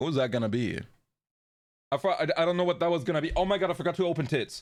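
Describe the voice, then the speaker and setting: Talking at a very fast pace, a man with a high pitch keeps his loudness very even and his pitch variation ordinary. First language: German. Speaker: VTuber streamer. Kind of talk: casual live stream chat. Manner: lower energy than usual.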